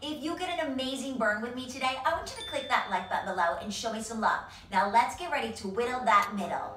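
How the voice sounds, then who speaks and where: A woman speaks with a high pitch. There is light background noise and audible room echo. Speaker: fitness instructor. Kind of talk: workout video intro. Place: home room.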